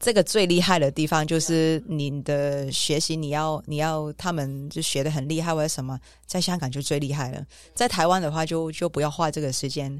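The speaker talks in a Hong Kong accent at a moderate pace with fairly even intonation. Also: woman, very deep, low pitch for a woman. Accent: Hong Kong Cantonese. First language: Cantonese (speaking Chinese). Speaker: restaurant owner and parent. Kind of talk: interview conversation.

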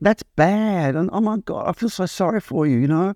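A high-pitched man with an Australian accent, ordinary pitch variation and a moderate pace, in a dry, close sound with no echo. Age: 60s. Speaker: acting school founder and teacher. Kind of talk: interview conversation.

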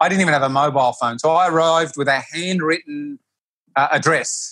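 A man's fairly high pitch in an Australian accent, bright and sharp in tone, at a fairly quick pace with ordinary pitch variation. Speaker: yoga practitioner. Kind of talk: interview conversation.

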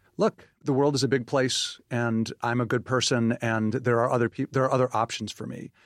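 An unremarkable speaking voice from a man, medium in pitch with fairly even intonation, a fairly quick pace, and a dry, close sound with no echo. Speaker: psychology professor. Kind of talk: interview.

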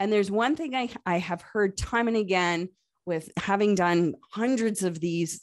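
Against a quiet background, a normal speaking voice comes through with ordinary pitch variation. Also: woman. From Canada. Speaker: customer success consultant. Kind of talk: casual interview conversation.

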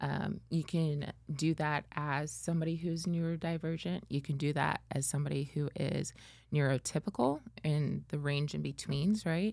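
Speaking with an American accent, a woman with a very deep, low pitch keeps her loudness very even and her pitch variation ordinary, in a very clean recording with a silent background. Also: moderate pace. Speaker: activist. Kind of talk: casual interview. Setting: studio.

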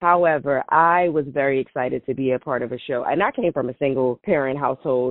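A woman with an American accent and a very deep, low pitch talks at a fairly quick pace. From Philadelphia, East Oak Lane. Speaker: actress. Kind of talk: interview. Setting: video call.

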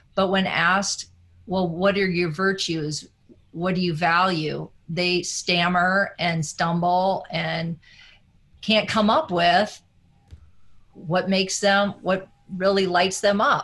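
A woman with a US Midwestern accent speaks at a medium pitch. Her delivery is very slow, broken by long, frequent pauses. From Iowa, US Midwest. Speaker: wellness coach. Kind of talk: interview.

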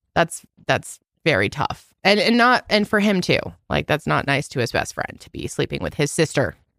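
A woman talks at a moderate pace with a fairly low pitch and vocal fry. Her pitch swings very widely and her loudness rises and falls sharply, in a dry, close recording with no echo. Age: 20s. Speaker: podcast co-host. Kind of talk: casual chat.

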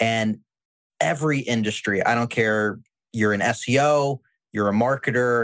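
Using a plain, everyday voice, a man talks at a medium pitch with ordinary pitch variation. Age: 30s. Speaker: marketing agency founder. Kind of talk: interview.

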